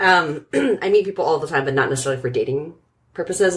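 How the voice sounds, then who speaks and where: In a Californian accent, a woman speaks. Her pace is very fast. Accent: General American (Californian). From US West Coast, San Francisco Bay Area. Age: 30s. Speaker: operations director. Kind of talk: casual chat.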